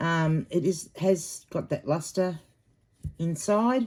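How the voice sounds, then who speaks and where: With an Australian accent, a woman speaks in a dark, mellow tone at a fairly low pitch. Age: 50s. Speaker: online reseller. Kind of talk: casual unboxing vlog. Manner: hesitant, many filler ums.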